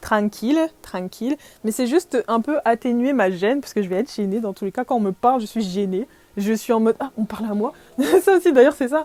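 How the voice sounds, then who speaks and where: A woman speaks with a dark, mellow tone at a fairly high pitch. Her intonation is lively, and the sound is dry and close with no echo. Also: fairly quick pace. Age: 20s. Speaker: podcaster. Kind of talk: casual chat. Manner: hesitant, many fillers.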